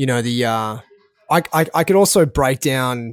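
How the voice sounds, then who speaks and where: A man with an Australian accent speaks at a fairly slow pace, his medium pitch rising and falling in an ordinary way. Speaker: podcast host and food entrepreneur. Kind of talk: casual interview.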